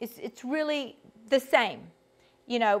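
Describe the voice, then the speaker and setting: A woman speaks with a Georgia accent. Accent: Southern US (Georgia) drawl. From US South, Georgia. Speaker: vocal coach. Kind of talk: online workshop instruction. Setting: video call.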